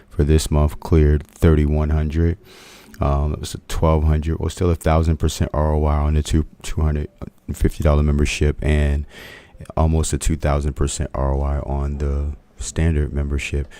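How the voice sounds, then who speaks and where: Over noticeable background noise, a man speaks in a very deep, low pitch with monotone, flat intonation. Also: moderate pace. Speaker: options trading educator. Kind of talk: trading webinar presentation. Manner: speaking low; halting, many fillers.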